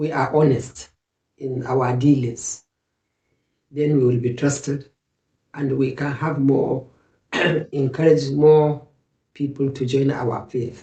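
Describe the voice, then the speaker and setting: Very slow and very deep, a woman's somewhat breathy voice stays monotone and flat, broken by long, frequent pauses. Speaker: Islamic advice speaker, interview guest. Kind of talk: interview answer, Islamic reminder.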